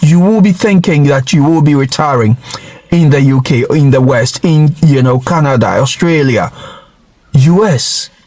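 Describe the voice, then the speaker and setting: A man's voice with noticeable background noise. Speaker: vlogger. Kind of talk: casual monologue.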